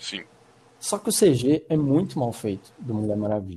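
At medium pitch, a man speaks in a somewhat breathy voice with a dark, mellow tone. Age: 20s. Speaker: film student. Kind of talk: casual chat.

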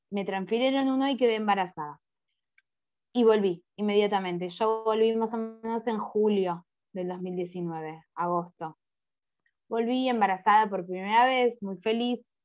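Ordinary pitch variation at a fairly slow pace, with music in the background. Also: woman, fairly high pitch for a woman. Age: 30s. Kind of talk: testimony. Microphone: muffled at first, covered microphone.

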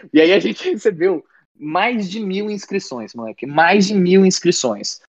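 Dry, close, echo-free male speech at a moderate tempo. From Brasília, Brazil. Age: 20s. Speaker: band vocalist and songwriter. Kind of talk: casual interview chat.

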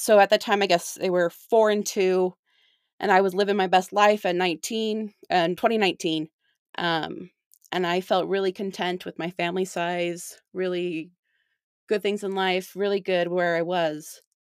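A woman with a Utah accent speaks at a fairly slow pace in a monotone, flat intonation, leaving long, frequent pauses. The recording is very clean with a silent background and a dry, close sound with no echo. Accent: Utah American. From Utah (St. George). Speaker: bereaved mother, non-profit volunteer. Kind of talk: interview testimony.

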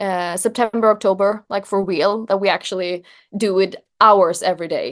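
A woman with a Swedish accent talks at a medium pitch and a moderate pace. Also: fairly even intonation. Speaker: journalist. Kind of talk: interview.

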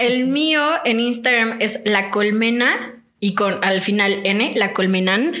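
A woman at a very slow pace and fairly high pitch, with ordinary pitch variation, very even loudness and audible room echo. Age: 20s. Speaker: nutritionist. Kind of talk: casual chat.

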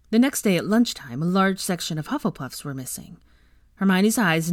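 Someone is reading aloud in a natural voice here.

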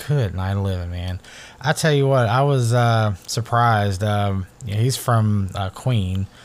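The speaker is a man with an ordinary speaking voice. His pitch is fairly low, with ordinary variation. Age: 40s. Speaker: podcast host. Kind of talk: casual monologue. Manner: relaxed, with frequent fillers.

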